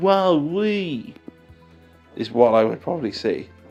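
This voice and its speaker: A man talks with lively intonation. There is music in the background. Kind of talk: casual card game news commentary. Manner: casual, chatty.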